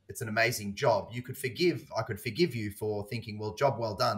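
The speaker talks at a fairly quick pace in an Australian accent, somewhat breathy and with ordinary pitch variation. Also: man. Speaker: podcast host. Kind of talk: casual chat.

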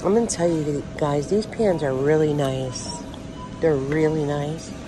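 A woman talks at a fairly slow pace while music plays in the background. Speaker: shopping vlogger. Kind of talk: casual vlog chat. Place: shop. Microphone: phone near.

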